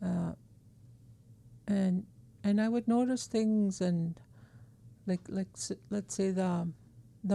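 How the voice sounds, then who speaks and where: Somewhat breathy and dark, mellow in tone, a woman at a medium pitch speaks at a very slow pace. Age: 60s. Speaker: elder and emotional support worker. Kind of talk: interview conversation.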